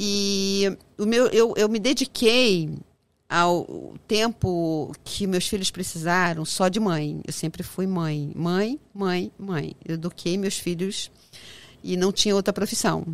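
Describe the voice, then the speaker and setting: At a very slow pace, a woman speaks in a medium-pitched voice. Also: ordinary pitch variation. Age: 60s. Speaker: businesswoman, restaurant association president. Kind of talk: interview.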